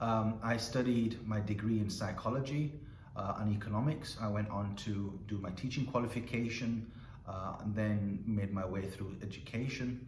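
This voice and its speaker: A man's fairly low voice moves at a moderate pace with fairly even intonation, while noticeable background noise and audible room echo fill the recording. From northern England, Bradford (West Yorkshire). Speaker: school principal. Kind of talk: informal talk to students. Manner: hesitant, with repeated words.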